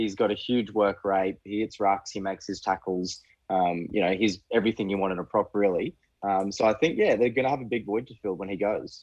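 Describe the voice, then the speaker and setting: A fairly low-pitched man with an Australian accent, fairly quick pace, fairly even intonation and a quiet background. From Queensland, Australia. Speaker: rugby fan, podcast guest. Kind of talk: casual chat.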